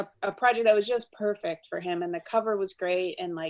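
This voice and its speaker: A woman with a medium-pitched voice talks at a very fast pace. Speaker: book art director. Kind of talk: interview.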